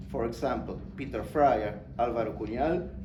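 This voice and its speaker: A man speaks at a moderate pace in a space with audible room echo. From Argentina. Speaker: academic speaker. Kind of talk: conference talk. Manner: formal.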